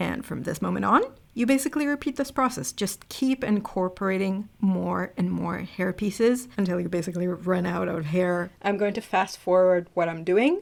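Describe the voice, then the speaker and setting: With an American accent, a woman talks at a moderate pace with lively intonation and hardly any pauses. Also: medium pitch for a woman. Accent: American-sounding. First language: not English. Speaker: beauty YouTuber. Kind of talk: tutorial; scripted voiceover. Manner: casual, chatty.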